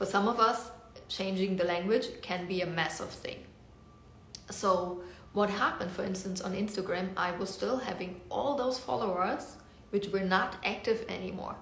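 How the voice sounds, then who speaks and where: In a German accent, a woman speaks at a moderate pace and medium pitch with ordinary pitch variation, amid audible room echo and noticeable background noise. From Germany. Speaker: business coach. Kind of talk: casual social media talk.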